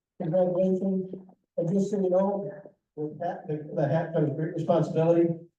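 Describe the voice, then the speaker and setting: At a fairly quick pace, a man with a fairly high pitch talks amid audible room echo. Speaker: guest speaker from a holiday lights charity. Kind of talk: club presentation with Q&A. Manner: fast.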